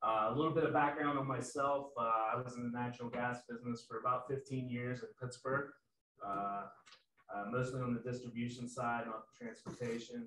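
With audible room echo, a man talks at a fairly quick pace in fairly even intonation. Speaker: sales manager presenting. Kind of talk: webinar presentation. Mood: friendly, self-deprecating. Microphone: video call.

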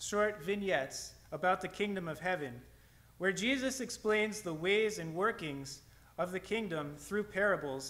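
A natural reading voice moves through an ordinary range of pitch.

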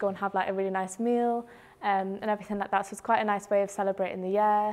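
Speaking very fast, a woman holds a medium pitch. Her intonation is monotone and flat. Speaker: student ambassador; presenter. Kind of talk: casual chat. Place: classroom.

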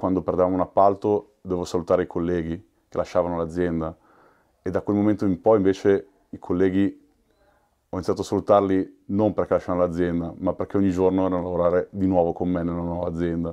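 With a quiet background behind him, a man delivers a very deep, low pitch at a very fast pace in a monotone, flat intonation. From Milan, Italy. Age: 40s. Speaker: union representative at a call center. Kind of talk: documentary interview. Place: office.

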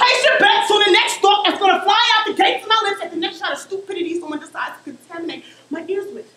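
A woman's raised, projected, extremely high voice in an American accent, very fast with hardly any pauses and ordinary pitch variation, plus audible room echo. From Oakland, California. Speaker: spoken word poet and performer. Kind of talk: spoken word poetry performance. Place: stage. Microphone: camera far.

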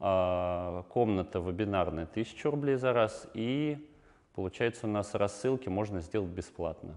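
A man talks at a fairly slow pace with a fairly low pitch. His pitch varies in an ordinary way. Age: 20s. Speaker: online entrepreneur; guest. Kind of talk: talking-head interview answers. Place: studio. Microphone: lapel.

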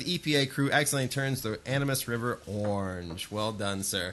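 Lively intonation and a fairly quick pace mark a plain, everyday voice. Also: man. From northern Ohio. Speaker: podcast co-host. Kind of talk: casual chat.

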